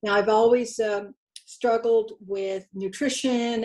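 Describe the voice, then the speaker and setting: Her tone is dark and mellow. The woman speaks at a fairly slow pace. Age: 60s. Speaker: program participant. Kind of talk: testimony.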